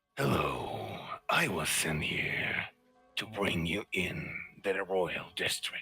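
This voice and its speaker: In a put-on character voice, a man speaks at a very slow pace with a very deep, low pitch while faint music plays in the background. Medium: actual play.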